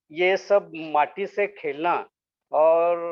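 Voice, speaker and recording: The man talks at a high pitch. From Maharashtra, India (Solapur). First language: Marathi (speaking Hindi). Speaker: sculptor. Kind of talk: interview. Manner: halting, many fillers; polite, humble.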